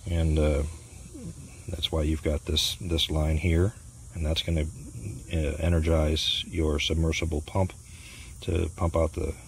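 Over light background noise, a man with a very deep, low pitch and a somewhat breathy voice talks at a fairly slow pace in a monotone, flat intonation, with long, frequent pauses and a dry sound with no echo. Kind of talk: tutorial. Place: garden. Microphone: phone near.

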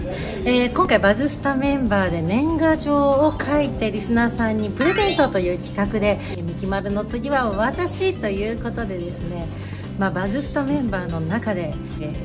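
A woman talking at a moderate pace over loud music in the background. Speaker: radio personality. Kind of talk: casual talk to camera. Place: office. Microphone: phone near.

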